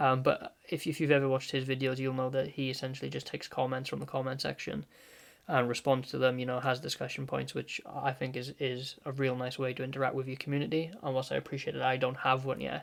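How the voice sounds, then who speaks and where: A man rattles along at a very fast pace in a medium pitch on a very clean recording with a silent background. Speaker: gaming content creator. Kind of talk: casual gaming commentary monologue. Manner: calm, not energetic; laid-back, reserved.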